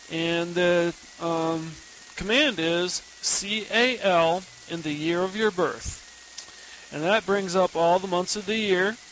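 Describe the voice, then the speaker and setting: A high-pitched man speaks at a very slow pace with long, frequent pauses and fairly even intonation. Noticeable background noise runs underneath. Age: 30s. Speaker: listener and Linux student. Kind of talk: recorded listener tip.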